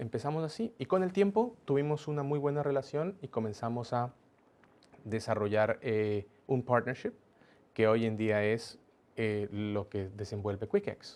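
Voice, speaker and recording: A man with a plain, everyday voice talks at a fairly slow pace in a medium pitch, with ordinary pitch variation. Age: young. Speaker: business executive. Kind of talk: interview.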